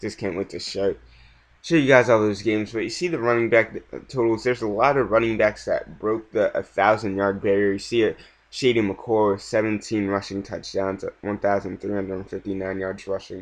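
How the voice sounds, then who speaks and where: A man with a fairly low pitch talks at a fairly quick pace, keeping his intonation fairly even. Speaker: gaming video creator. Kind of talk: gameplay commentary. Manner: halting, self-correcting; casual, rambling.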